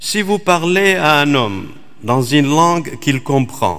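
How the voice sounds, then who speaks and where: Against a quiet background, the speaker talks at a very slow pace. The tone is bright and sharp, and the intonation is lively. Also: man. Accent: Middle Eastern. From Iraq. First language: Aramaic (speaking French). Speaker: Dominican priest, preacher. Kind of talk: sermon. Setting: church. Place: church. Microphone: podium.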